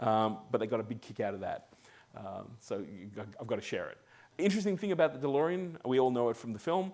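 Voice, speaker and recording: In an Australian accent, a man talks very fast with lively intonation on a very clean recording with a silent background. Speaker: amateur radio club member giving talk. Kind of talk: presentation. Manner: halting, many fillers and repeats.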